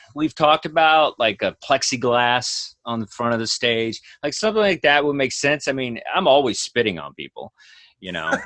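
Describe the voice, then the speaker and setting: A man with an American accent speaks with big swings in loudness, in a dry, close sound with no echo. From Texas. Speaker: stand-up comedian. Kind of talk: casual chat. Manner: fast; animated.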